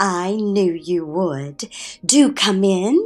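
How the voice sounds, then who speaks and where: A woman puts on a character voice, soft-spoken and medium in pitch. Her intonation is lively. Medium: read story. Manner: pleasant, soft, motherly.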